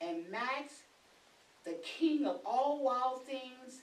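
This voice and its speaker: A woman with a high pitch speaks at a very slow pace, with audible room echo. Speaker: storyteller reading to a class. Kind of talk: story read aloud. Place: classroom. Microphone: camera far.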